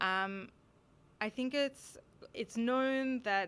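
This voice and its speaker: On a very clean recording with a silent background, a woman with an Australian accent speaks at a fairly slow pace in a bright, sharp tone. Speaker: conference speaker. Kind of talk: lecture.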